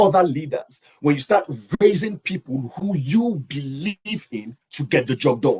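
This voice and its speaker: A man speaks at a fairly slow pace, his voice somewhat breathy. His pitch is fairly high and his intonation lively. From Nigeria. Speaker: leadership coach. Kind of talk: lecture.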